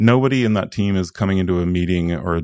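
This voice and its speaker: A man's very deep, low voice at a fairly quick pace, with ordinary pitch variation, dry and close with no echo, over a quiet background. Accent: Swedish. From Sweden. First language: Swedish. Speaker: product consultant. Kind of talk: podcast interview.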